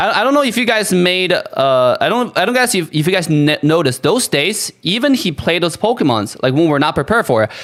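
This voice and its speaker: A man with a non-native accent speaks at a fairly quick pace, hardly pausing, with a high pitch. His pitch swings very widely while his loudness stays very even. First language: not English. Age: 30s. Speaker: gaming streamer. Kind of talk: livestream monologue. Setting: live stream. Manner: halting, many restarts and fillers.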